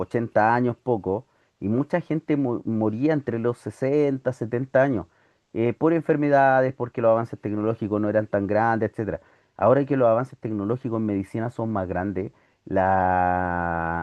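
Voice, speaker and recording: A man with a plain, everyday voice speaks at a moderate pace, his medium pitch showing ordinary variation. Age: 40s. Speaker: teacher. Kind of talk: lecture.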